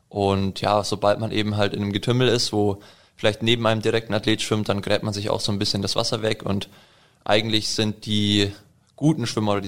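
At a very fast pace, a man talks with a fairly low pitch and a monotone, flat intonation. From Allgäu, Bavaria, Germany. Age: 20s. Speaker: triathlete. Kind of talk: interview.

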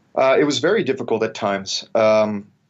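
A medium-pitched man with a western Canadian accent at a moderate pace. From Canada, Vancouver. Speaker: military historian. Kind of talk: interview.

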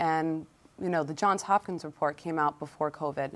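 A woman talks at a moderate pace with a fairly low pitch. It is an ordinary speaking voice. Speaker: legislator. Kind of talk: panel discussion.

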